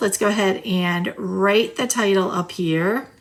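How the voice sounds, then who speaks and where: Medium pitch from a woman, with noticeable background noise. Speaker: journaling content creator. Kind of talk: casual craft tutorial. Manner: casual, chatty.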